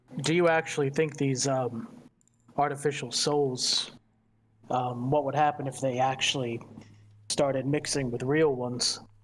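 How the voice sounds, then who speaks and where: Using a put-on character voice, a man speaks at a moderate pace and medium pitch with monotone, flat intonation and long, frequent pauses. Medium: actual play. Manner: courteous, mercenary, candid.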